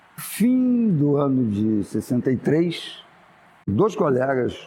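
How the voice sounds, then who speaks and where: A man speaks with a somewhat breathy voice. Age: 70s. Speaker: architect. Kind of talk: oral history interview. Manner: casual, with hesitations and fillers.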